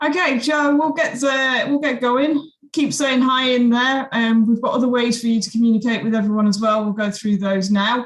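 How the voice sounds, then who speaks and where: A woman with a British accent speaks at a high pitch and a moderate pace, with ordinary pitch variation, very even loudness and hardly any pauses. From UK. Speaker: webinar host. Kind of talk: live webinar introduction. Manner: casual, relaxed.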